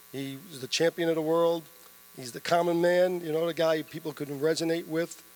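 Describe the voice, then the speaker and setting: In a New York accent, a man speaks at a fairly quick pace in a high pitch, his monotone, flat intonation paired with big swings in loudness. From New York City, the Bronx. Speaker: boxing promoter. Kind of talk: press conference remarks.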